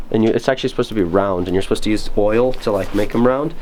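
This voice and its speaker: Noticeable noise sits in the background. Over it, a man talks very fast. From Moldova. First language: Romanian. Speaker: camper. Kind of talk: casual chat. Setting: outdoors.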